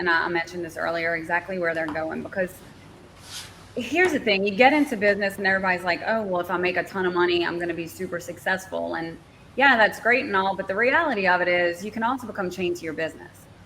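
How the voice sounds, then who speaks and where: Over noticeable background noise, a woman talks at a very fast pace in a medium pitch with ordinary pitch variation. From southern Louisiana, Cajun. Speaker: marketing consultant. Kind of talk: podcast interview.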